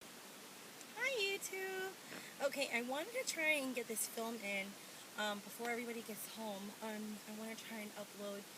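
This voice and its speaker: At a moderate pace, a woman talks with lively intonation over noticeable background noise and audible room echo. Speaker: pregnancy vlogger. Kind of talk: casual vlog. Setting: at home.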